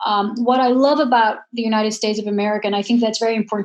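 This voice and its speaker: In a Dutch accent, a woman speaks at a very fast pace and fairly high pitch with fairly even intonation. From Netherlands. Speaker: professor and moderator. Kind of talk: panel discussion.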